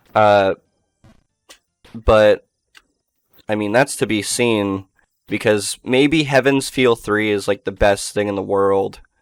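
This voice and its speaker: With music in the background and a dry, close sound with no echo, a man speaks at a very slow pace in a fairly low pitch, using fairly even intonation and long, frequent pauses. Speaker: VTuber gaming streamer. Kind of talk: casual gameplay commentary. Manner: rambling, halting with restarts.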